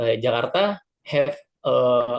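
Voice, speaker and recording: A man is speaking here. His pace is very slow. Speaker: student presenter. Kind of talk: poster presentation. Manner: halting, many fillers.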